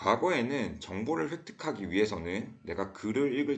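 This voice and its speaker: Audible room echo surrounds a speaker with a Daegu accent who talks at a fairly slow pace with lively intonation. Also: man. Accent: Gyeongsang (Daegu) dialect, uses it a lot. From South Korea, Daegu. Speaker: school teacher. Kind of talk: lecture.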